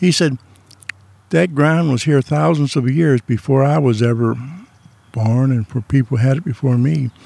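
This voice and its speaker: Speaking with a Midwestern American accent, a man has a fairly high pitch. He keeps a moderate pace, and the sound is dry and close with no echo. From US Midwest. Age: 70s. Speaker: retired man sharing his life and faith story. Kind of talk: casual interview. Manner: rambling storyteller.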